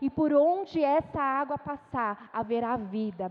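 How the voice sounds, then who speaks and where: Her intonation lively, a woman is speaking. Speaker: missionary preacher. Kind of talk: sermon. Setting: church.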